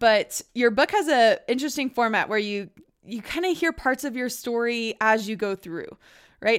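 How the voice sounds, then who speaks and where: Here is an ordinary speaking voice at a moderate pace with lively intonation. A woman speaks in a very clean recording with a silent background. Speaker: podcast host. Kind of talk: interview, casual chat.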